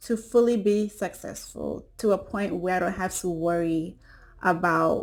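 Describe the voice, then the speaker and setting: At a fairly slow pace, a woman speaks in a Caribbean accent with ordinary pitch variation. The recording is very clean, with a silent background. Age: 20s. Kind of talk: casual talk to camera.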